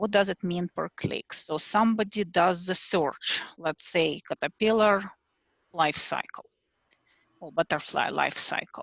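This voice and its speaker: A woman's medium-pitched voice with a non-native accent, fairly even intonation, a fairly slow pace, and dry, close sound with no echo. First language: not English. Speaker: self-published children's author. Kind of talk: group video call discussion. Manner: hesitant, many fillers.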